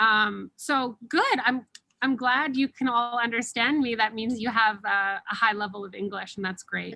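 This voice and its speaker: In a dry, close sound with no echo, a woman speaks at a moderate pace, her fairly high, bright, sharp voice showing ordinary pitch variation. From Canada. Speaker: English teacher. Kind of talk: Q&A session. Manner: clear enunciation; normal speed.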